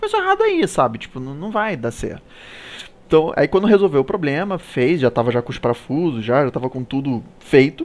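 Speaking at a fairly quick pace with lively intonation, a man with an unremarkable speaking voice and fairly high pitch makes big swings in loudness. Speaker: live show host. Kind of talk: casual chat. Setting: live stream.

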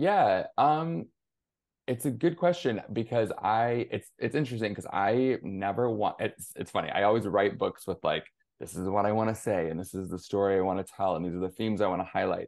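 A man with an American accent talks at a fairly quick pace in a fairly low voice, with lively intonation and a quiet background. It is an ordinary speaking voice. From Michigan, near Flint. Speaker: young adult author. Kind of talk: interview.

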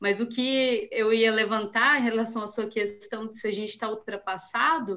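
At a fairly slow pace, a woman speaks in a fairly high pitch with an unremarkable speaking voice. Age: 30s. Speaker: soil scientist. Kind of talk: technical discussion.

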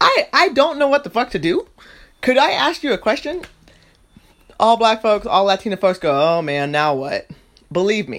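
The speaker moves at a moderate pace in an animated tone, with long, frequent pauses. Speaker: podcast host. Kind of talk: casual monologue.

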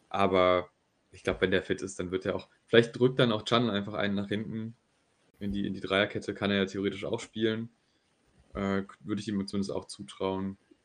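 This man talks fairly quickly at a fairly low pitch, with fairly even intonation. His loudness swings widely and he leaves long, frequent pauses. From Germany, near Düsseldorf. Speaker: football podcast co-host. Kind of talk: casual chat.

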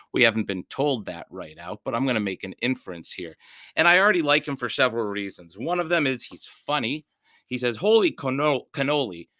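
An animated man with a medium pitch and a bright, sharp tone swings his pitch very widely, slipping into vocal fry, on a very clean recording with a dry, close sound, no echo and a silent background. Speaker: podcast host and book reader. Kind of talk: reading aloud and hosting chat. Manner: animated, jokey.

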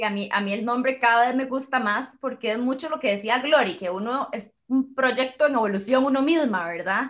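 A woman with a Costa Rican accent, high in pitch, at a moderate pace with ordinary pitch variation and hardly any pauses. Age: 30s. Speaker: mother and workshop leader. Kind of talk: casual chat. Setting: video call.

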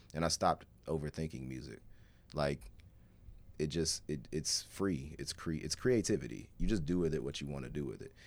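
This man has a very deep, low pitch with vocal fry. He keeps a moderate pace and ordinary pitch variation. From Alabama, Birmingham. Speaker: rapper. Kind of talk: casual chat. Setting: studio.

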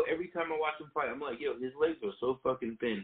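A man talks in an unremarkable speaking voice, pitched fairly high, with ordinary variation in pitch. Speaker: co-host MMA commentator. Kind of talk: casual chat about MMA, profane.

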